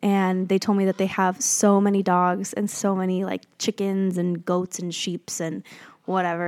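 At a moderate pace, a woman talks in an unremarkable speaking voice at a medium pitch with fairly even intonation. The sound is dry and close, with no echo. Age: 20s. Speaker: podcast host. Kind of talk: casual monologue. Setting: Airbnb in nature at sunset.

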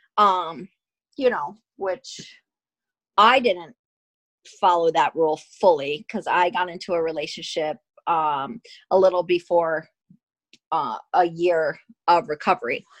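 With an American accent, a woman talks at a fairly slow pace in a fairly low voice, with ordinary pitch variation and long, frequent pauses, in a dry, close recording with no echo and a quiet background. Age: 40s. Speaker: recovering addict, host's sister. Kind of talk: casual chat.

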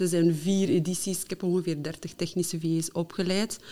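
This woman's pitch sits fairly low. Her intonation remains fairly even. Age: 30s. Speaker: technical virtual assistant and trainer. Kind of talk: casual interview.

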